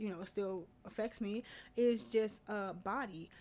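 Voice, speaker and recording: She has a normal speaking voice at a medium pitch. The woman talks at a moderate pace with ordinary pitch variation. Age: 20s. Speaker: podcast host. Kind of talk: solo podcast monologue. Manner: casual, conversational.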